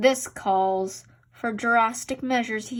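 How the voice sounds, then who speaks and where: Putting on a wheezy character voice, a woman speaks at a fairly high pitch and fairly slow pace with fairly even intonation. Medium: read story.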